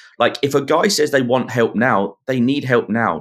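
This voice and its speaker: A man speaks in a southern English accent. The recording is very clean, with a silent background. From southern England. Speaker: nonprofit CEO and men's mental health advocate. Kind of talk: podcast interview.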